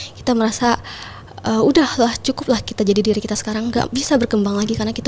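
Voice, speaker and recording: Amid noticeable background noise, a woman talks at a very fast pace in a shrill, fairly high voice with ordinary pitch variation. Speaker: pageant titleholder and MC. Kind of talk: podcast interview.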